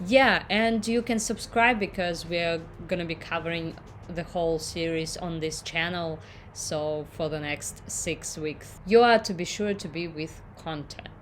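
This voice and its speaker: A woman's fairly low voice with a non-native accent, at a fairly slow pace, with ordinary pitch variation. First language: not English. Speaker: YouTube reactor. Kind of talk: casual vlog intro to camera.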